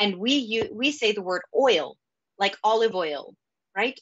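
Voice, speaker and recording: The pitch swings very widely. The background is quiet. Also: woman. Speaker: data operations executive, conference speaker; conference speaker. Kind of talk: conference talk. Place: home room. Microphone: webcam.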